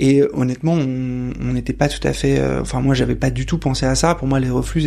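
The talking runs at a fairly quick pace. Background noise is noticeable throughout. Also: man. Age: 30s. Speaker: father and startup co-founder. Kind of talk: interview testimony. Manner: hesitant, many fillers.

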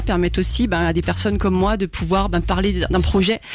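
Noticeable background noise sits behind this recording. A woman talks at a moderate pace. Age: 30s. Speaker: singer. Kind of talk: radio interview. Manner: talkative, hesitant with fillers.

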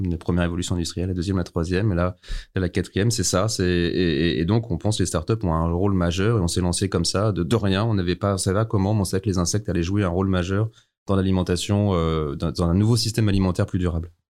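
A man's very deep, low voice at a very fast pace, very even in loudness and fairly even in intonation, on a very clean recording with a silent background. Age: 40s. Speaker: startup founder. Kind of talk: interview.

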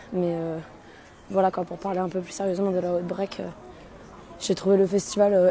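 A woman speaks at a medium pitch. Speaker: festival-goer. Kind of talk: voice message review.

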